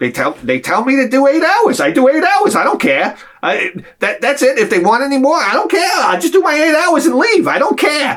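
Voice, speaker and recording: A man puts on a character voice pitched extremely high for a man and moves at a fairly quick pace. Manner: stressed, curt.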